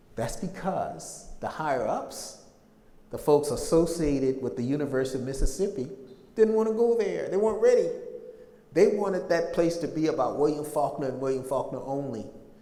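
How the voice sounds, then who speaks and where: A man at a fairly high pitch, fairly quick in pace and lively in intonation, with audible room echo and noticeable background noise. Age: 60s. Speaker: public speaker on slavery history. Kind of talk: lecture.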